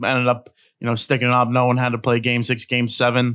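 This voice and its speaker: In a very clean recording with a silent background, a man speaks at medium pitch with an American accent. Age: 20s. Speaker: sports podcast co-host. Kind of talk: casual chat.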